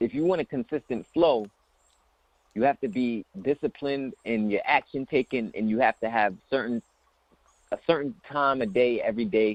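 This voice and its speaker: Medium pitch for a man, lively intonation and long, frequent pauses from a male speaker, all dry and close with no echo. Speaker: business coach. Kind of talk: motivational talk. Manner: fast.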